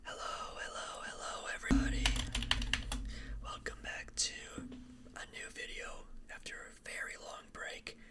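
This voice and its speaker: Noticeable noise sits in the background. The speech is broken by long, frequent pauses. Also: fairly slow pace. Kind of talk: ASMR whispered ramble while drawing, casual talk to camera. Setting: close-mic studio/room recording with drawing sounds. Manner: whispered, soft-spoken.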